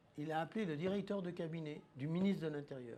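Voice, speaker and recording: The man's pitch sits high, with ordinary variation. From France. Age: 70s. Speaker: inventor. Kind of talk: testimony.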